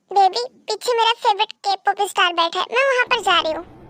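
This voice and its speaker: A woman speaks at a fairly quick pace in a put-on, squeaky character voice pitched extremely high. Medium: fan dub. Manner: accusing, petulant.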